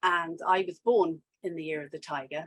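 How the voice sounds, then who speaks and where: Someone speaks at a fairly slow pace in a London accent. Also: woman. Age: 60s. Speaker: fibre artist. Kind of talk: casual interview chat. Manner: hesitant, many fillers.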